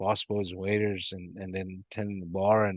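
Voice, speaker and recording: A man with a Persian accent, fairly low pitch and monotone, flat intonation. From Iran. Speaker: rug company founder. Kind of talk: interview answer.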